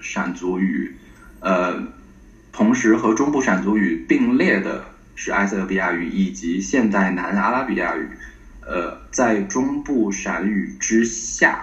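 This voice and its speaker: Over audible room echo, a man talks at a very slow pace. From Tianjin, northern China. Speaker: PhD student in Semitic linguistics. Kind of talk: academic interview. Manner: halting, many fillers.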